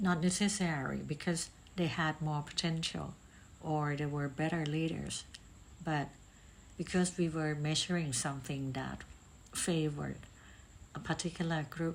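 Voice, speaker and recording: A woman's very deep, low voice with a non-native accent and fairly even intonation, at a moderate pace with long, frequent pauses. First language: not English. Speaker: podcast host, talent assessment consultant. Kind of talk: reflective monologue. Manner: hesitant with filler ums.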